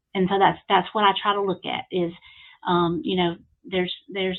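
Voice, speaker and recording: A woman talks with an Alabama accent. Her medium-pitched voice moves at a moderate pace. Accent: Southern US (Alabama). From US South, Alabama. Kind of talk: podcast interview. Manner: hesitant, many fillers.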